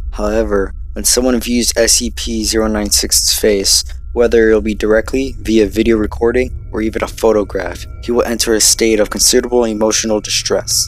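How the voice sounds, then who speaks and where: A man at a moderate pace with hardly any pauses, dry sound with no echo and music in the background. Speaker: narrator. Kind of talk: scripted explainer narration.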